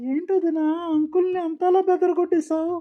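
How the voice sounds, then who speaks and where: A woman's cartoonish character voice, extremely high-pitched and monotone, with flat intonation. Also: moderate pace. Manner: chatty, gossipy.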